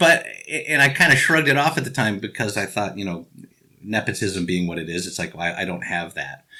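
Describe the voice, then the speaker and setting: A man with a Chicago accent speaks at a fairly quick pace in a fairly low pitch, with very wide pitch swings. The recording is very clean with a silent background. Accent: Chicago American. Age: 50s. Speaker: actor and improv teacher. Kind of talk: interview. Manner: halting.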